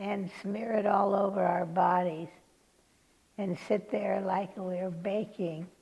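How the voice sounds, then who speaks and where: A woman with an American accent speaks at a medium pitch and a fairly slow pace. Her tone is dark and mellow, and somewhat breathy. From California, USA. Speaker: oral history interviewee, retired nurse. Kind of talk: oral history interview answer, reminiscing.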